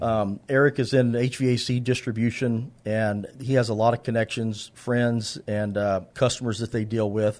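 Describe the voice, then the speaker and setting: A man with an American accent has a plain, everyday voice at a medium pitch and fairly even intonation. He keeps a moderate pace with hardly any pauses against a quiet background. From San Antonio, Texas. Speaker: charity founder and contractor. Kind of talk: casual interview chat.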